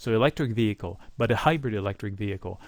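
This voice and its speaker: A man with a slight non-native accent talks at a fairly quick pace, his pitch rising and falling in an ordinary way. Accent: slight foreign. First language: not English. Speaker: stock market commentator. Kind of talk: market analysis monologue. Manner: casual, conversational.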